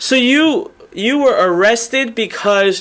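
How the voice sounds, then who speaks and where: Lively intonation runs through a raised, projected voice. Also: man. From Indian descent. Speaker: webinar host and online marketer. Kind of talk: live webinar interview. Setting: live online webinar. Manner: animated.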